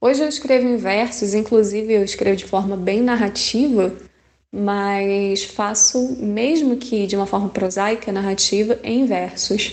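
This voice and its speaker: A woman speaks fairly slowly in an unremarkable speaking voice, with medium pitch and fairly even intonation. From Rio de Janeiro. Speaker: poet. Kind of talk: interview answer.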